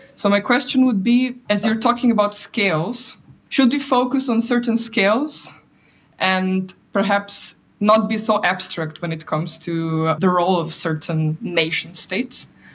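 A woman speaks with lively intonation at a fairly slow pace. Her voice is somewhat breathy. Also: medium pitch for a woman. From Slovenia. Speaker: PhD researcher. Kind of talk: audience question. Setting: video call.

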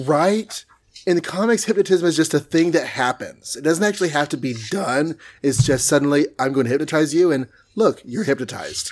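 With an American accent, a man uses a plain, everyday voice at a fairly high pitch and a fairly quick pace, with ordinary pitch variation. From Texas. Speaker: comic book podcast host. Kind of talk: casual chat.

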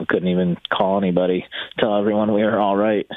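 A male voice with noticeable background noise. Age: 30s. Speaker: retired pro motocross racer. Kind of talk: casual chat. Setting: phone call.

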